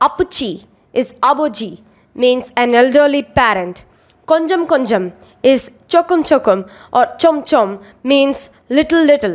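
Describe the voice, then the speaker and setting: A woman's high-pitched voice in a Tamil accent, with lively intonation at a very slow pace. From India, Chennai, Tamil Nadu. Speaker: calligraphy artist. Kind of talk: scripted narration.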